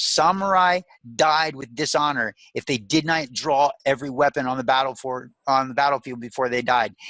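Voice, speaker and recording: A man speaks at a moderate pace in a bright, sharp, animated and enthusiastic tone with ordinary pitch variation, recorded dry and close with no echo. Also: fairly high pitch for a man. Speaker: motivational speaker and life coach. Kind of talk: podcast interview. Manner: enthusiastic and emphatic.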